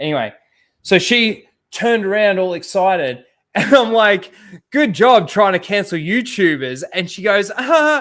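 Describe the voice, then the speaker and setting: Speaking loudly at a fairly slow pace, a man with a high voice comes through in a very clean recording with a silent background. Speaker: YouTuber. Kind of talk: casual chat.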